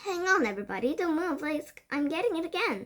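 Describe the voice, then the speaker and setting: A woman puts on a character voice at an extremely high pitch. She moves at a fairly quick pace. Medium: read story. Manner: shrill, urgent.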